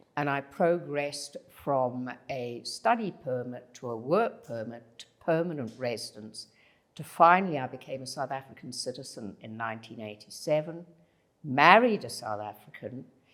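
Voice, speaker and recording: A woman with a Zimbabwean accent speaks at a moderate pace in a very deep, low pitch. Her intonation is lively, and her loudness swings widely. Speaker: leadership consultant. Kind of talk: podcast interview.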